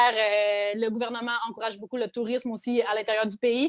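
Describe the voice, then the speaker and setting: A woman speaks with a fairly high pitch. Her pace is moderate and her intonation fairly even. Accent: Quebec. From Quebec, Abitibi. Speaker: content creator. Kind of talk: podcast interview. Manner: hesitant, many fillers.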